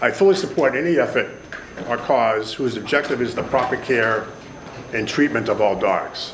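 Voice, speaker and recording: A man with a Boston accent talks at a moderate pace with ordinary pitch variation, amid audible room echo and noticeable background noise. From Boston, Massachusetts (Jamaica Plain). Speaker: pet store owner. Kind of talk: public hearing testimony. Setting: legislative hearing room. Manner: formal.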